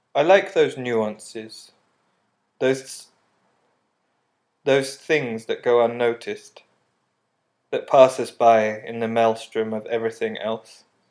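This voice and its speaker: At a very slow pace with long, frequent pauses, a man speaks in a serious tone at a medium pitch. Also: ordinary pitch variation. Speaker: artist. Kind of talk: scripted narration. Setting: apartment with windows open. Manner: serious melancholic tone.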